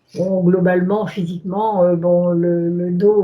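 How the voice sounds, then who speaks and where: A woman speaks in a fairly low, flat monotone at a fairly slow pace, with noticeable background noise behind her. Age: 70s. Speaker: hypnosis session client. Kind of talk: interview about personal life. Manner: hesitant, many fillers.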